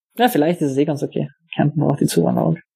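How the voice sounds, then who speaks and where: A man speaks at a fairly high pitch. His tone is dark and mellow, and somewhat breathy. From Austria, Carinthia. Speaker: software developer. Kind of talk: casual interview. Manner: halting, many fillers.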